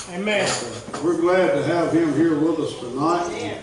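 The speech moves at a fairly slow pace. Audible room echo and noticeable background noise are present. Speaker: pastor. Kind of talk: prayer and announcements. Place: church. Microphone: camera far.

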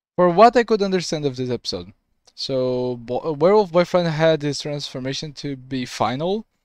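In a dry recording with no echo and a quiet background, a man speaks at a moderate pace with lively intonation. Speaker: reaction video creator. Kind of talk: casual reaction commentary. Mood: curious, mildly confused. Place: home room. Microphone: headset.

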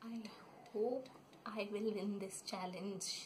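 A woman speaks at a very slow pace in a flat, monotone way. Light background noise sits behind her. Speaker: vlogger. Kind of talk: casual talk to camera, playful sibling banter. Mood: playful, laughing. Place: home room. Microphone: phone near.

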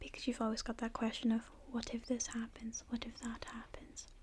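Soft-spoken and gentle in tone, a woman talks fairly quickly in a high pitch. Her intonation is monotone and flat, with light background noise. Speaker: video creator. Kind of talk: soft-spoken advice talk, ASMR-style. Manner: soft-spoken, gentle ASMR voice. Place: home room. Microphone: studio mic.

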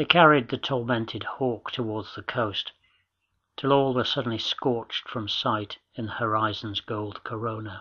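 With a plain, everyday voice, a man speaks at a moderate pace, his medium pitch carrying fairly even intonation. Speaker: audiobook narrator. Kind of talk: literary audiobook reading, scripted nature prose. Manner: measured, evocative.

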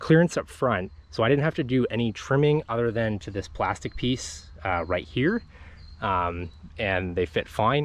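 Lively intonation marks this man's plain, everyday voice at a moderate pace. The recording is dry with no echo. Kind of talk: casual walkaround commentary. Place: open country. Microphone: phone near.

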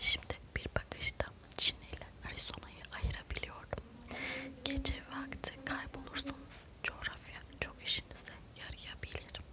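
The speaker is a woman whispering. She goes at a fairly slow pace. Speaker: ASMR content creator. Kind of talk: whispered book reading for relaxation / sleep. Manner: whispered, soft, slow. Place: home room. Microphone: lapel.

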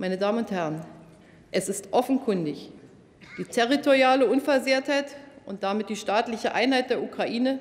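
A woman speaks at a moderate pace. Her pauses are long and frequent. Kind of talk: formal parliamentary speech. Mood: serious, measured. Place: hall. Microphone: podium.

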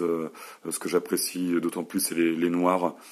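A man with a very deep, low voice speaks at a fairly slow pace. His intonation is monotone and flat. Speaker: tech reviewer. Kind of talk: product review video. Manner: hesitant, many fillers and repetitions.

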